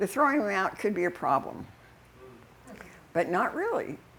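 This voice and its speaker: Speaking with an American accent, a woman's voice swings very widely in pitch. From Utah. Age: 80s+. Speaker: activist speaker. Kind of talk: public talk. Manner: halting.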